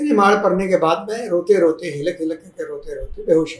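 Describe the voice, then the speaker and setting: This man has a high-pitched voice with ordinary variation in pitch. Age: old. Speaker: retired university vice chancellor. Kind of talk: motivational talk, personal story.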